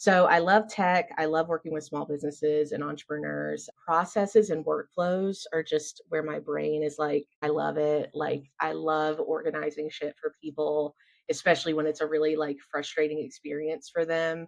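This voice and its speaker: A woman with an American accent speaks in a very deep, low pitch. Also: moderate pace, hardly any pauses, dry, close sound with no echo. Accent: Southern US, strong but toned down now. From US South. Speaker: business founder and systems consultant. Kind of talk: casual interview chat. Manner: animated.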